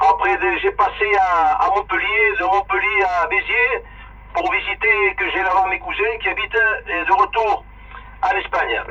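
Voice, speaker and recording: Fairly slow male speech against clearly audible background noise. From Spain, schooled in France as a child. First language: Spanish (speaking French). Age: 60s. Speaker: amateur radio operator. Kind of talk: casual chat. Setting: radio link. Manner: halting.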